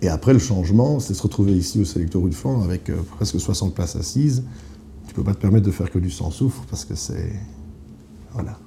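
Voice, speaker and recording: A fairly low-pitched male voice with lively intonation at a fairly quick pace, against noticeable background noise. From eastern Belgium, near the German border. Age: 30s. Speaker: sommelier. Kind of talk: casual interview. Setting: restaurant office.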